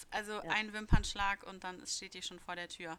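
The woman's voice has a bright, sharp tone. She speaks at a fairly slow pace. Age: 20s. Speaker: podcast co-host, youth worker. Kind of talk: casual chat.

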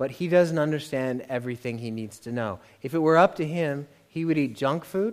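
A man with an American accent and a plain, everyday voice talks at a fairly quick pace with ordinary pitch variation. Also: fairly high pitch for a man. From United States. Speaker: visiting pastor. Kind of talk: sermon. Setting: church.

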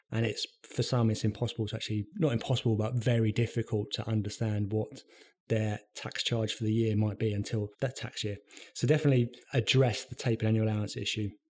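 Very fast, a man speaks at a medium pitch in a somewhat breathy voice. His intonation stays monotone and flat, on a very clean recording with a silent background. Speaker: pensions tax consultant. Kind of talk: professional interview.

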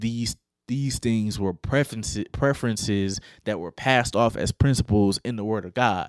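An unremarkable speaking voice moves at a moderate pace with ordinary pitch variation. The recording is very clean, dry and close, with no echo and a silent background. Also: man, fairly low pitch for a man. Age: 20s. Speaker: podcast host. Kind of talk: solo commentary podcast. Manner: casual, conversational.

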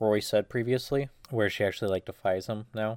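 A man with an unremarkable speaking voice, fairly low in pitch, at a fairly quick pace with fairly even intonation. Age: 20s. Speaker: podcast co-host. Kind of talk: casual chat.

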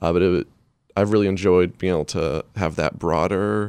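At a moderate pace, a man speaks with vocal fry in a dry, close sound with no echo. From Maine. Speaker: magazine editor. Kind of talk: casual chat. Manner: halting.

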